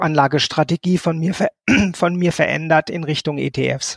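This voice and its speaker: With an unremarkable speaking voice, a man talks at a fairly slow pace and fairly even intonation, the sound dry and close with no echo on a very clean recording with a silent background. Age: 50s. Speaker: social services team leader and coach. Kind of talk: interview.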